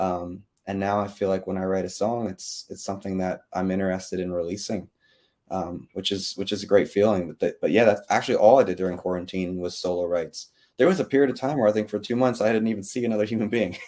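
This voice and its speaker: A man with an American accent speaks very fast in a fairly low, dark, mellow voice with fairly even intonation, on a very clean recording with a silent background. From upstate New York (Adirondacks). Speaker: country singer-songwriter. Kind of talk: casual interview.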